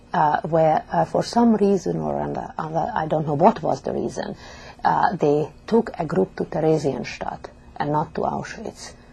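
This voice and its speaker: Noticeable background noise is present in the recording. A woman speaks over it at a fairly slow pace. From Hungary, Budapest. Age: 70s. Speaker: Holocaust survivor. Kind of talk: testimony. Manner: halting.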